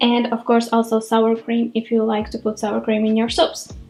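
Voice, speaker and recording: Over noticeable background noise, a woman with a Latvian accent talks at a fairly high pitch. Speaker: cooking vlogger. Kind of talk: cooking tutorial. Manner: casual, chatty.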